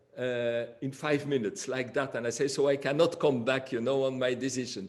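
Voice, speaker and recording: A man speaks with a French accent. His intonation is fairly even. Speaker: flutist. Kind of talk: interview. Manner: halting.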